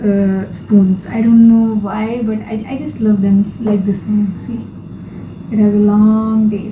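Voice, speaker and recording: A woman with a fairly high pitch speaks in monotone, flat intonation. Audible room echo and noticeable background noise are present. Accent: non-native. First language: not English. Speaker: lifestyle vlogger. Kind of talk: casual vlog monologue. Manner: hesitant, with fillers and restarts.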